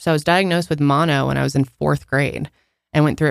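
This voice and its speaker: A woman with a very deep, low pitch and vocal fry speaks at a fairly quick pace in a very clean recording with a silent background. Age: 20s. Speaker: podcast co-host. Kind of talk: casual chat.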